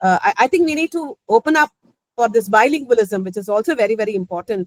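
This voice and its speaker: Speaking at a very fast pace, a woman with a Tamil accent uses a fairly high pitch. Her pitch swings very widely, and the sound is dry and close, with no echo. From Chennai, Tamil Nadu, India. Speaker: professor. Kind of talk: academic talk. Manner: halting.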